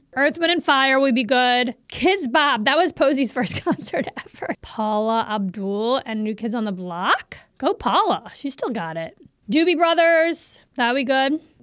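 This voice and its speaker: With an American accent, a woman speaks slowly-ish at a fairly slow pace in a high, animated voice full of very wide pitch swings. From US South, New Orleans East. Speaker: podcast host. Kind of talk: casual chat.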